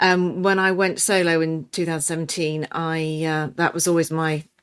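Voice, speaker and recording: A woman with a fairly low pitch speaks in monotone, flat intonation in a very clean recording with a silent background. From England. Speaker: nutrition and weight loss coach. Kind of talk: podcast interview. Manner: halting, many fillers.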